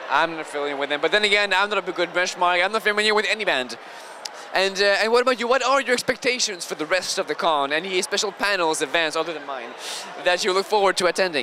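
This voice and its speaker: A man with a Quebec accent talks in a raised, projected voice at a very fast pace. His pitch is high, and there is noticeable background noise. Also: lively intonation. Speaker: convention video podcast host. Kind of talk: casual convention interviews and banter.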